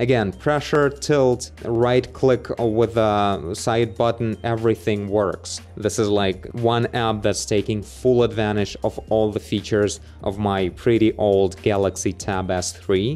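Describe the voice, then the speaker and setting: A man's fairly low voice at a very slow pace, with faint music in the background. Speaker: tech reviewer. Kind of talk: tutorial. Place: home room. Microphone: studio mic.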